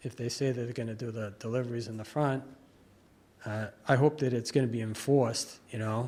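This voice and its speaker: Somewhat breathy and with monotone, flat intonation, a man speaks with an American accent. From Massachusetts. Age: 60s. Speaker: local resident speaking at public hearing. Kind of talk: public comment at town meeting. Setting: town board meeting room. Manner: halting, many fillers.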